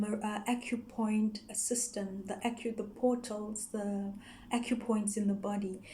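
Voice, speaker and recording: A woman's very slow, monotone, flat speech in a Zulu accent, fairly high in pitch and somewhat breathy, with audible room echo. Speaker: yoga teacher. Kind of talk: explainer video. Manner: halting, with frequent fillers.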